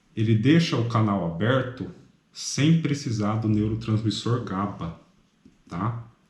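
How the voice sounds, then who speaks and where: A man talks at a very slow pace in a somewhat breathy voice. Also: medium pitch for a man, ordinary pitch variation. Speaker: medical student tutor. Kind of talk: study review lecture. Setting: apartment at night. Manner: soft-spoken; casual.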